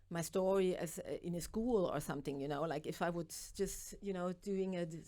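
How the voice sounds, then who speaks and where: A woman with a German accent, medium-pitched with ordinary pitch variation, at a moderate pace in a dark, mellow tone. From East Germany. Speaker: author and makeup artist. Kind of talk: interview. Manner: halting.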